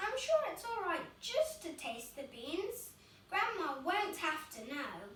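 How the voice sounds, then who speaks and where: In a put-on character voice, a woman speaks at a fairly slow pace with extremely high pitch, very wide pitch swings, and a slight echo. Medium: read story.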